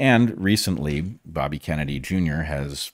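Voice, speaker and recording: The voice carries vocal fry. The background is quiet and the sound is dry, with no echo. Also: man. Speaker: podcast host. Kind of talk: podcast commentary. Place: home room. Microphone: studio mic.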